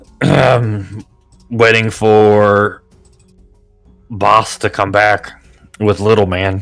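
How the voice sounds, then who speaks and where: Over faint music in the background, a man puts on a character voice, speaking at a very slow pace and a fairly low pitch with long, frequent pauses. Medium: actual play. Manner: broken simple English, dropped articles; slow, blunt.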